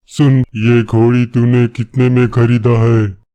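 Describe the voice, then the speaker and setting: Using a cartoonish character voice, a man drawls at a very slow pace in a monotone, flat delivery at medium pitch, with a dry, close sound with no echo. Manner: gruff, domineering.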